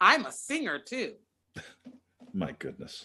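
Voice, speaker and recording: With vocal fry and very wide pitch swings, a woman speaks in a bright, sharp tone. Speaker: opera singer. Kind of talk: interview.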